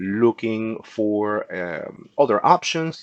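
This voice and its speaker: A man with a Peruvian accent is recorded with dry, close sound and no echo. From Peru, Lima. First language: Spanish. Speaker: insurance agent. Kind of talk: educational class. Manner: halting.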